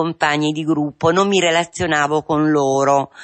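A woman talks slowly, at a fairly low pitch, with fairly even intonation. It is an unremarkable speaking voice over a quiet background. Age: 50s. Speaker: patient in addiction recovery. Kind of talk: testimony. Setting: radio studio. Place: studio.

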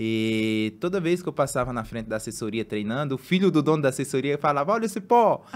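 A man talks at a very fast pace with hardly any pauses and very wide pitch swings. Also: fairly high pitch for a man. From Brazil, Pernambuco interior; Pernambuco, Brazil. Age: 30s. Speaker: marathon runner; guest. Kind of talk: casual chat. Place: studio. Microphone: studio mic.

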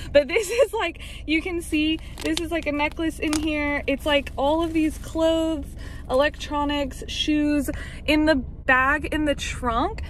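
Speaking at a fairly slow pace, a woman with a high pitch comes through over light background noise. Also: ordinary pitch variation, dry sound with no echo. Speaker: vlogger. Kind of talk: casual vlog chat. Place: car. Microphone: phone near.

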